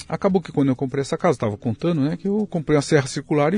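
Somewhat breathy and dark, mellow in tone, a man's voice makes very wide pitch swings in a dry, close sound with no echo. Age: 60s. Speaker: pasta factory owner. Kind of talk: casual interview chat.

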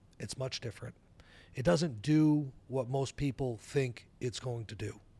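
A somewhat breathy man's voice at a medium pitch and moderate pace, with an American accent, on a very clean recording with a silent background. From New Hampshire, US. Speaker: entrepreneur. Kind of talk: interview.

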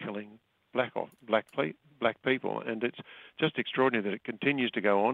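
A plain, everyday voice from a man, fairly quick in pace, with ordinary pitch variation. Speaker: foreign correspondent. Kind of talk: news interview. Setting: phone call.

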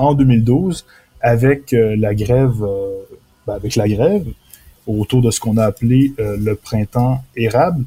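A man speaks slowly-ish at a fairly slow pace, his somewhat breathy, dark, mellow voice sitting at a medium pitch with ordinary pitch variation. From Quebec, Beauce region. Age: 20s. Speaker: author. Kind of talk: interview.

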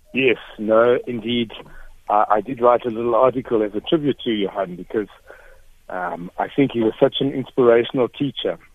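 A man with an unremarkable speaking voice talks at a moderate pace and medium pitch, using ordinary pitch variation. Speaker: caller, former student. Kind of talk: radio call-in tribute. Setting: phone call.

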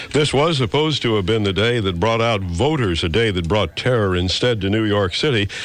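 With a plain, everyday voice, a man speaks at a fairly low pitch and a fairly quick pace, using lively intonation, hardly any pauses and very even loudness. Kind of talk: radio news reading, live breaking-news anchor copy. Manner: grave, measured, formal.

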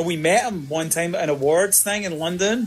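Speaking with a Glasgow accent, a man uses a fairly high pitch, ordinary pitch variation and a moderate pace. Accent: Scottish (Glasgow). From Scotland, Glasgow. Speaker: rock band frontman. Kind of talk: casual interview. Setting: remote call from abroad.

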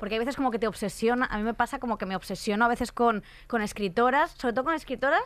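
A woman with a Spanish accent talks at a very fast pace and fairly high pitch. Her pitch variation is ordinary, on a very clean recording with a silent background. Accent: Peninsular Spanish. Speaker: podcast host. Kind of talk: casual chat.

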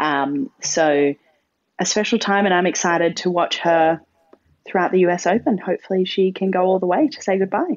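Speaking at a moderate pace, a woman with an Australian accent uses a medium pitch and ordinary pitch variation. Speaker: podcast co-host. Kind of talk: casual chat. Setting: remote call.

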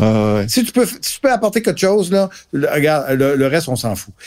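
A man speaks with a Quebec accent. His pitch swings very widely. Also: very clean recording, silent background. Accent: Québécois French. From Gaspésie, Quebec. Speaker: marketing professor and co-author. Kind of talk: casual discussion.

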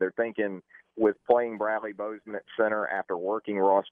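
An ordinary speaking voice at a moderate pace. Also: man. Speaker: college football writer. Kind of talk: radio interview about sports.

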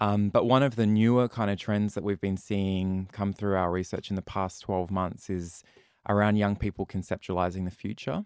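Speaking in an Australian accent, a man holds a fairly low pitch and a moderate pace with fairly even intonation. The recording is dry and close with no echo, over a quiet background. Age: 30s. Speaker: youth mental health charity representative. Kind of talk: interview.

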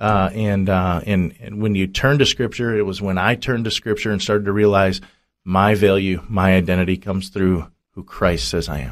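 In a plain, everyday voice, a man with an American accent speaks at a fairly low pitch on a very clean recording with a silent background. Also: ordinary pitch variation, moderate pace. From United States. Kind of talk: interview testimony. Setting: radio studio.

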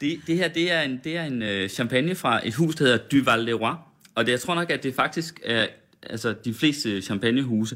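The background is silent and the recording very clean. At a moderate pace, a man talks. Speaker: radio host. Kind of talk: casual interview chat over champagne. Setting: studio.

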